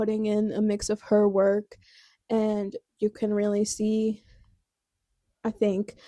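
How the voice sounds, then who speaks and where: A soft-spoken woman talks in a dark, mellow tone. The sound is dry and close with no echo. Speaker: book vlogger. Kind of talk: casual chat. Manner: loud. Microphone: new clip-on microphone.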